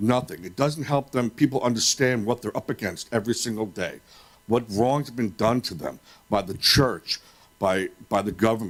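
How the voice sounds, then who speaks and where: A man with an American accent talks at a moderate pace and a medium pitch, with lively intonation. It is an ordinary speaking voice. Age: 50s. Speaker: public commenter at school board meeting. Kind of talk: public comment.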